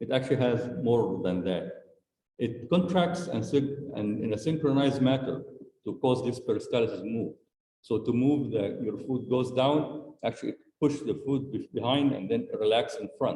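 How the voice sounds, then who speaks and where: In a room with audible echo, a man speaks at medium pitch in a dark, mellow, somewhat breathy tone with ordinary pitch variation. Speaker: medical school lecturer. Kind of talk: lecture. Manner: fast.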